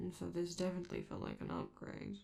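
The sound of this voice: A woman's put-on character voice, fairly low in pitch with a dark, mellow tone, vocal fry, very wide pitch swings and a fast pace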